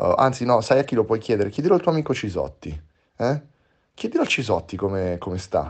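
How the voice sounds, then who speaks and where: Somewhat breathy, animated male voice at medium pitch, fairly quick, with very wide pitch swings, long, frequent pauses and a quiet background. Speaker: podcast host. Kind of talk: casual banter. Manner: teasing, animated.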